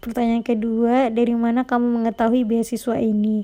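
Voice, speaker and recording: A woman's fairly high-pitched voice comes through over a quiet background. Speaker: YouTuber explaining scholarship applications. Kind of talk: screen-recording tutorial. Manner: casual, chatty.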